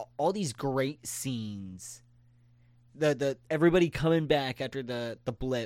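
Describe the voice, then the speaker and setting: A man with a normal speaking voice talks at a fairly slow pace with ordinary pitch variation. The recording is very clean, with a silent background. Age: 20s. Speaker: podcast host. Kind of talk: casual chat.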